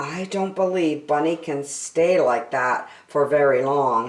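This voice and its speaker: A woman does a put-on character voice, raspy and very deep and low. She speaks at a fairly slow pace. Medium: read story. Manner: fretful.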